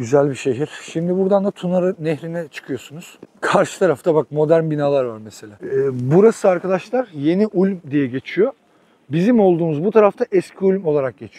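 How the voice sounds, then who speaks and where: A high-pitched man with a dark, mellow tone and lively intonation, at a moderate pace, in dry, close sound with no echo. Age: 30s. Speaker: travel vlogger. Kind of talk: casual travel vlog narration.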